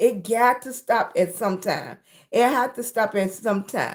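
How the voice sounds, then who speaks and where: Speaking at a fairly slow pace in an American accent, a woman has a fairly high pitch. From Virginia. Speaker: live streamer. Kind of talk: casual live stream chat. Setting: live stream. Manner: animated.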